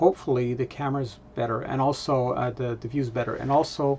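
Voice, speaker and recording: The speaker talks in a Quebec accent with fairly even intonation. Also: man. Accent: French Canadian accent in English. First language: French. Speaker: vlogger, data analytics presenter. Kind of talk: casual vlog update. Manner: halting, many filler words.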